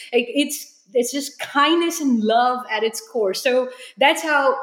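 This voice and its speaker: Her pitch is high for a woman. She uses ordinary pitch variation. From India (New Delhi). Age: 30s. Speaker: reuse entrepreneur and designer. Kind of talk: interview.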